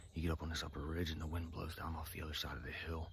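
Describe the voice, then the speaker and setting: Against light background noise, a man with a very deep, low pitch talks very fast in a somewhat breathy voice, the sound dry with no echo. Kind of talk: casual vlog chat. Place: forest. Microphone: phone near.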